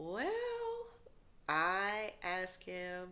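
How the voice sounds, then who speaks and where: A woman with an American accent speaks in a bright, sharp tone with lively intonation. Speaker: faith vlogger. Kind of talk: testimony. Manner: casual, conversational.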